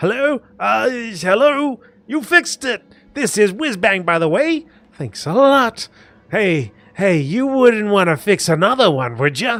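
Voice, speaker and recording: A put-on character voice from a man, pitched high. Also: fairly slow pace. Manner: eager, hopeful.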